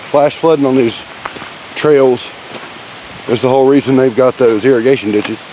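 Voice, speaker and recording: The speaker has a Southern US accent. Noticeable background noise runs underneath. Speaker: hiking vlogger. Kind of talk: casual trail vlog narration. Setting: outdoors on a hiking trail. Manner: speaking a little loudly.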